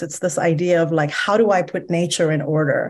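A woman with an ordinary speaking voice talks at a moderate pace and a fairly low pitch, with ordinary pitch variation. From Iran, moved to US at 10. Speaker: educational therapist. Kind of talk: podcast interview.

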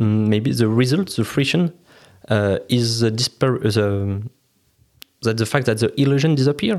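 A man with a French accent is heard in a very clean recording with a silent background. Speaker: podcast host. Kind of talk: interview.

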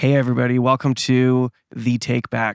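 Delivered with a Canadian accent, the speech keeps a moderate pace. The intonation is monotone and flat. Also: man. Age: 30s. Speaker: podcast host. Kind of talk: interview conversation.

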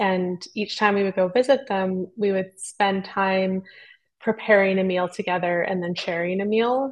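A woman speaks in a Western Canadian accent at a fairly slow pace. Her pitch is medium and her intonation fairly even. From Squamish Nation, British Columbia coast. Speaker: ethnobotanist and author. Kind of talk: interview.

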